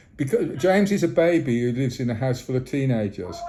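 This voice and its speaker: Very wide pitch swings at a moderate pace, with noticeable background noise. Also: man. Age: 60s. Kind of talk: phone call complaint. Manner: halting, many repetitions.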